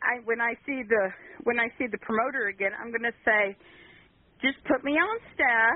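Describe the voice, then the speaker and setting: A woman with an unremarkable speaking voice and an American accent talks at a fairly high pitch and moderate pace, with ordinary pitch variation. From Kansas. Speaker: caller. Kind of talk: call-in chat.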